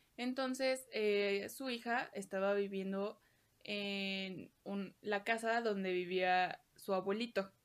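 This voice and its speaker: With a Mexican accent, a woman speaks at medium pitch and a very slow pace, her intonation fairly even. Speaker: podcast co-host. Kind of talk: casual storytelling.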